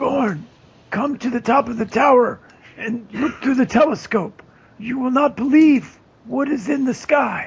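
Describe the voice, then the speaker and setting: The voice is a put-on character voice. It sits at a fairly high pitch. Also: moderate pace. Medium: actual play.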